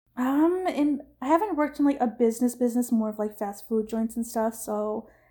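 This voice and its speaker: Here is a woman with a plain, everyday voice, pitched fairly high. She moves at a moderate pace with ordinary pitch variation. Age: 20s. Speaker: college student. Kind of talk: interview answers.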